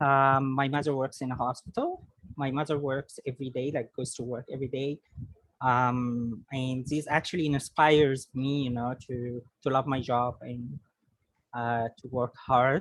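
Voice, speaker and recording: Monotone and flat, a woman talks at a fairly slow pace with a very deep, low pitch. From Egypt, Alexandria. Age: 20s. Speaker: computer engineer, interviewee. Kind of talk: interview. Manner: hesitant, many fillers.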